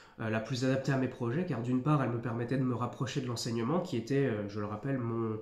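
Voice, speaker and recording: Amid audible room echo, a man with a medium-pitched, somewhat breathy voice speaks at a fairly quick pace with ordinary pitch variation. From northeastern France, near Nancy. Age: 20s. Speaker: youtuber, firefighter candidate. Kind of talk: mock oral exam presentation; tutorial. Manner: hesitant, many fillers.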